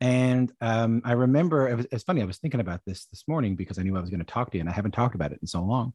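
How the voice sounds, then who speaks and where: A man talks at a very fast pace with lively intonation and hardly any pauses. The sound is dry and close, with no echo. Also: medium pitch for a man. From Newfoundland, Canada (St. John's). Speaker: musician and radio broadcaster. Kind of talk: interview. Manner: halting, many fillers and repetitions.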